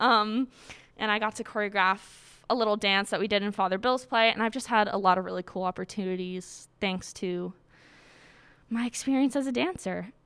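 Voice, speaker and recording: An American-accented woman has an unremarkable speaking voice at a medium pitch with ordinary pitch variation. She talks at a fairly quick pace in a very clean recording with a silent background. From Massachusetts (Quincy). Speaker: college student and dancer. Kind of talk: personal story. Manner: casual, filler-heavy.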